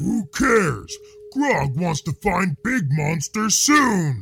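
Using a put-on character voice, a man speaks high and very slowly, his pitch swinging very widely. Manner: simple, speaks in third person, eager.

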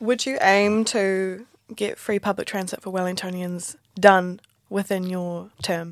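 The recording is very clean, with a silent background. A woman with a New Zealand accent talks at medium pitch in a monotone, flat intonation. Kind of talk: casual interview. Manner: casual, chatty.

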